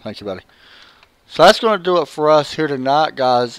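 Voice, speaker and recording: Here is a man with a Southern US accent. His pitch varies in an ordinary way. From Tennessee. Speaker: sim racing broadcaster. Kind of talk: casual sign-off to viewers. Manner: casual, hesitant.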